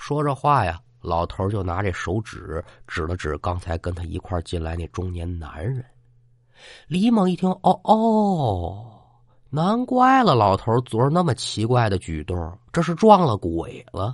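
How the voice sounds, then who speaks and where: Speaking at a fairly slow pace, a man with a slight Tianjin accent uses a medium pitch that moves in very wide swings, his voice somewhat breathy. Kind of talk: storytelling. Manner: single narrating voice, no character voices.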